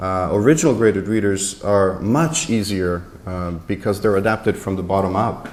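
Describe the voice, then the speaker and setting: Audible room echo fills the recording. The speaker, in a Portuguese accent, leaves hardly any pauses. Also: man, fairly low pitch for a man, ordinary pitch variation, moderate pace. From Canada. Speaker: graded reader editor and panelist. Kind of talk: panel discussion at a conference. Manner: hesitant, many fillers and repetitions.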